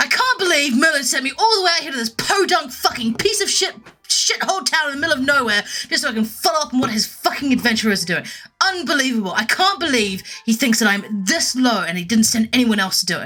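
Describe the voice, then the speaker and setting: A put-on character voice, high-pitched, whiny and growling, with very wide pitch swings at a very fast pace. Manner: whining, snarling.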